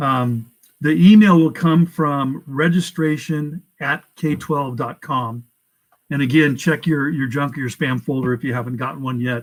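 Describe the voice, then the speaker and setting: This man talks at a fairly slow pace, his fairly high pitch showing ordinary variation. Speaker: school staff member. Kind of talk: informational presentation to parents. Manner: hesitant, many fillers.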